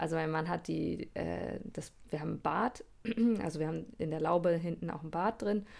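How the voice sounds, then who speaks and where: A woman talks at a moderate pace with a fairly low pitch and vocal fry. Her pitch variation is ordinary. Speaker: podcast co-host, mother. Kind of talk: casual chat.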